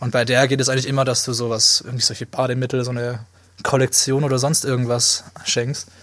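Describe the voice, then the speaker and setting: Talking at a very fast pace, a man keeps a medium pitch and a monotone, flat intonation. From Swabia, southwestern Germany. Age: 20s. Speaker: podcast co-host, media student. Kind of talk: casual chat.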